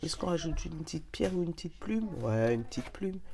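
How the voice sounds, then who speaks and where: A woman with a very deep, low voice makes very wide pitch swings. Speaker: tarot card reader. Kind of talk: oracle card reading, casual chat. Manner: animated.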